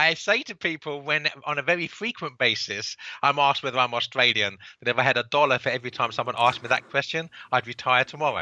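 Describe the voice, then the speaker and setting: A man with a Cockney accent talks very fast in a bright, sharp tone with ordinary pitch variation, his sound dry and close with no echo over a quiet background. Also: fairly high pitch for a man. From England, London (Cockney). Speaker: author and book publisher. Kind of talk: podcast interview. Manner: halting, many repeated words.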